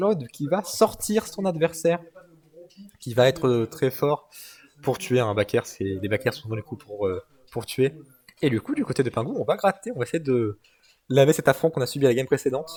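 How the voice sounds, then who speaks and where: Somewhat breathy, a man speaks in a fairly high pitch with very wide pitch swings. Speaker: esports commentator. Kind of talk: live commentary. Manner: fast; animated.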